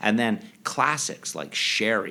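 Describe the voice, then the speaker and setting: The recording of this male speaker is very clean, with a silent background behind him. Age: 50s. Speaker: sommelier and chef. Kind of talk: interview. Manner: animated.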